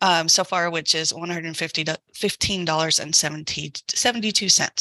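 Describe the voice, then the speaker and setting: This woman talks at a moderate pace in a plain, everyday voice. Her pitch sits fairly low. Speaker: council budget officer. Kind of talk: budget report in meeting.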